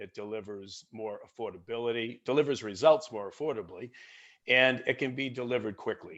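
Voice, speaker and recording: With a Boston accent, a man talks at a moderate pace and ordinary pitch variation. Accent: American, Boston area. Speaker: software product marketing lead. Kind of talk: webinar product presentation.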